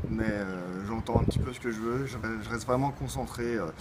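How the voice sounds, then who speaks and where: A man's pitch varies in an ordinary way as he talks at a fairly quick pace over noticeable background noise. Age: 20s. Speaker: amateur football player. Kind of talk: interview.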